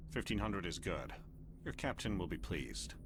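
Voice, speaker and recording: A put-on character voice moves at a fairly quick pace against loud background noise. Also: man. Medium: video game.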